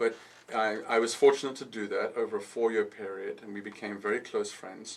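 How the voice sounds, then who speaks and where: This man has a South African accent. He talks at a fairly quick pace. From South Africa (KwaZulu-Natal, Pietermaritzburg). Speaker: architect and designer. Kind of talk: radio interview. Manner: hesitant, with fillers and repetitions.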